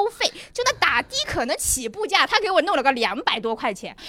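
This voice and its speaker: The speaker is a woman whose pitch swings very widely. She moves at a fairly quick pace. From Ningbo, Zhejiang. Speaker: German teacher. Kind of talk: casual chat before a live audience. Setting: stage with audience.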